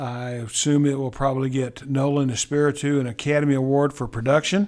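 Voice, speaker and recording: A man's fairly high voice with a Texas accent, at a fairly quick pace with fairly even intonation, in a very clean recording with a silent background. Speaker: corporate accounts payable trainer. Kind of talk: tutorial. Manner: halting, with many repeated words.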